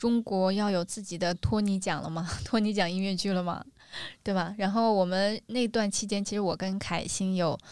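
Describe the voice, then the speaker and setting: Very clean recording with a silent background, a woman at medium pitch and moderate pace. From northern China. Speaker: podcast co-host. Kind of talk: casual chat. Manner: animated.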